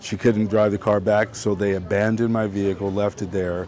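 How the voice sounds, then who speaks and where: There is noticeable background noise. A man speaks in a fairly low, flat monotone. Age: 60s. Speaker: homeless man who repairs bikes. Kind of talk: street interview. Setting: outdoors on the street. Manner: halting, with repeated words and self-corrections.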